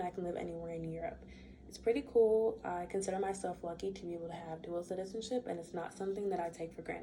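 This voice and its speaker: With fairly even intonation, a woman talks in an American accent. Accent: American with slight Bermudian word usage. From US, raised in a Bermudian household. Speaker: student. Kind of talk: class speech. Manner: casual.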